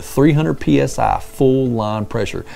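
Faint background music accompanies a man as he talks. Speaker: presenter. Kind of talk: product explanation. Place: office. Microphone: lapel.

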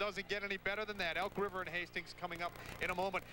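A man speaks in a raised, projected voice. The sound is dry with no echo, though there is noticeable background noise. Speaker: TV studio anchor. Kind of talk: news and sports anchoring. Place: stadium. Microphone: handheld.

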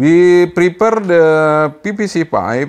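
A man speaks with a non-native accent. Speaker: amateur radio hobbyist. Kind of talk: tutorial. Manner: halting. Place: workshop. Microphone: lapel.

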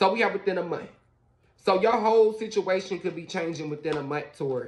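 A man talks at a moderate pace. His pitch is high, with ordinary pitch variation. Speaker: tarot reader. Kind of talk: casual tarot reading talk to viewers. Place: home room. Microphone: phone near.

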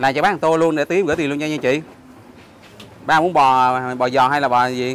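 Speaking with fairly even intonation at a moderate pace, a man is heard in a dry sound with no echo. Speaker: travel vlogger; travel food vlogger. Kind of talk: casual vlog narration with street interviews. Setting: outdoors on location. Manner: friendly, conversational. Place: street. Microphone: phone near.

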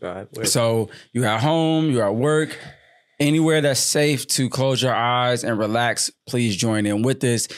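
A man's medium-pitched voice, a normal speaking voice, at a fairly slow pace with ordinary pitch variation. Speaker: podcast host and father. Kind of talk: casual family chat.

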